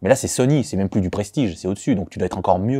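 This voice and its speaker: Recorded very cleanly against a silent background, a man speaks with lively intonation and a dark, mellow tone, the sound dry and close with no echo. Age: 20s. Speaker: football fan and sports columnist. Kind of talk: interview answers. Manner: casual, hesitant with many fillers.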